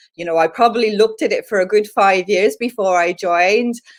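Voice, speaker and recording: A woman with a Dublin accent speaks at a fairly quick pace in a medium pitch. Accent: Irish, Dublin. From Ireland, Dublin. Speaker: LinkedIn trainer. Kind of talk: live stream Q&A. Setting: live video stream. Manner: animated.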